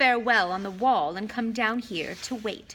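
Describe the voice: Ordinary rises and falls in pitch across plain reading aloud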